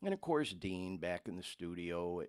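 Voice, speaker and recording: A man speaks at a moderate pace on a very clean recording with a silent background. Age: 60s. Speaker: podcast host in addiction recovery. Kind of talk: casual live podcast monologue. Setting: live streamed podcast. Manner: halting, repeats words.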